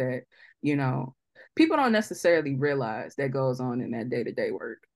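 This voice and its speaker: Against a quiet background, a woman speaks with a very deep, low voice. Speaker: podcast host. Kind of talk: casual chat. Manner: animated, casual.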